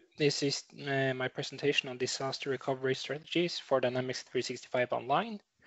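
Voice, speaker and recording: This man's voice sits at a fairly high pitch. He talks at a very fast pace. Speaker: tech conference speaker. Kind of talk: technical presentation. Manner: hesitant with fillers.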